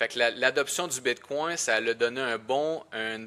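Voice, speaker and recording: A man with a bright, sharp tone speaks at a fairly slow pace with fairly even intonation. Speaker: podcast co-host. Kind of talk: casual podcast discussion.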